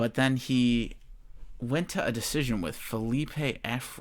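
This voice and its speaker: Mumbling at a very slow pace, a man talks in a medium pitch with ordinary pitch variation. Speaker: MMA betting podcaster. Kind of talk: casual podcast talk. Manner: mumbling, stumbling, stuttering.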